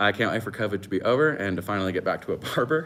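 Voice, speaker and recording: A man with an American accent, lively intonation and a very fast pace. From Northern California, wine country. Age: 20s. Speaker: chef and cooking channel host. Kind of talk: live-stream Q&A chat. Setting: live stream from home. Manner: casual, lots of fillers.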